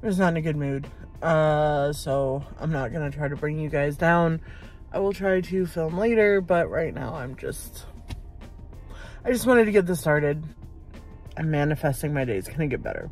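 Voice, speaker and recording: A woman's very deep, low voice at a moderate pace with long, frequent pauses, dry with no echo, over faint music in the background. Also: ordinary pitch variation. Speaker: vlogger. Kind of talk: casual vlog chat. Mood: low, in a bad mood. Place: car. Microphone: phone near.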